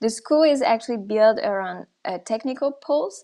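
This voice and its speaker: A woman talks at a moderate pace with lively intonation. Her pitch is fairly high, and the background is quiet. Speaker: art school representative. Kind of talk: presentation. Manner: hesitant, many fillers.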